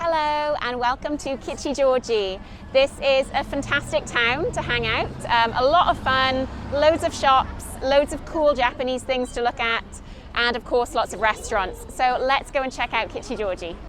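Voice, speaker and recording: A woman's high voice with a British accent, ordinary pitch variation and a moderate pace, with music in the background. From UK. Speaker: YouTuber, tour guide. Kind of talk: vlog walking tour.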